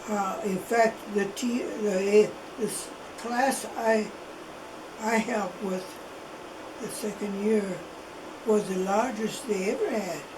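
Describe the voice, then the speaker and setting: A woman speaks at a very slow pace with fairly even intonation. Long, frequent pauses break her speech over noticeable background noise. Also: fairly high pitch for a woman. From Italy. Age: 80s+. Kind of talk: interview answer. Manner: slow, hesitant.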